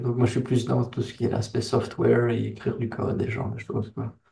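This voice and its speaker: A man speaks with a slight Belgian accent. His tone is dark and mellow, with vocal fry. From Belgium. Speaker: software engineer, company founder. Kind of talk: interview. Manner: casual, hesitant with fillers.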